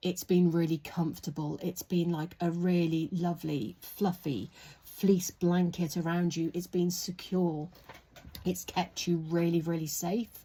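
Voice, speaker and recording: A woman's fairly low, somewhat breathy voice with a dark, mellow tone, monotone, flat intonation and a fairly slow pace. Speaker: tarot reader. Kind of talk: tarot reading. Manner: soft-spoken.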